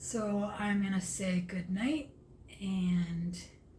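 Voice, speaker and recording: A woman speaks at a medium pitch, somewhat breathy. Audible room echo surrounds her voice. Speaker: vlogger. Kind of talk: casual vlog monologue. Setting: at home, late at night. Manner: halting, with stumbles and fillers.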